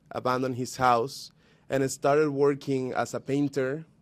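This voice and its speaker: Here a man speaks with a Spanish accent. His pace is fairly slow. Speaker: youth activist. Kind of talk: speech at a panel.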